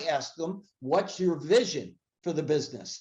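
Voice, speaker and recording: The man's pace stays moderate. His voice sits at a high pitch. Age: 70s. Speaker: sales coach and keynote speaker. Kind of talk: interview. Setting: webcast. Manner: halting, many fillers and restarts.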